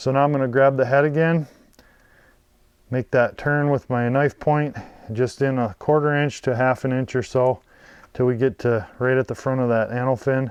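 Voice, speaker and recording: This man speaks at a moderate pace with a medium pitch and fairly even intonation, leaving long, frequent pauses. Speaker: fishing video creator. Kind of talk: tutorial. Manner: quiet, lowered voice.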